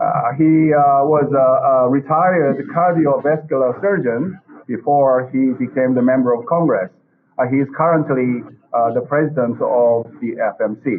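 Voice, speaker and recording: A man with a Korean accent speaks at a fairly high pitch. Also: ordinary pitch variation, moderate pace, very even loudness. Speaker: professor and webinar moderator. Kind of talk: formal moderation. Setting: video call. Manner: halting, many fillers.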